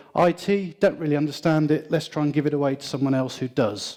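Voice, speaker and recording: Speaking with a British accent, a man uses a fairly high pitch and a dark, mellow tone, moving at a fairly quick pace with ordinary pitch variation. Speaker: IT consultant. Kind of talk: conference presentation.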